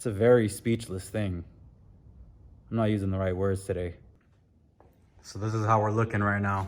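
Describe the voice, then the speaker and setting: A man speaks in a shaky, flat monotone, with long, frequent pauses and big swings in loudness. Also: fairly low pitch for a man, moderate pace. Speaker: car enthusiast vlogger. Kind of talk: casual vlog. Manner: halting.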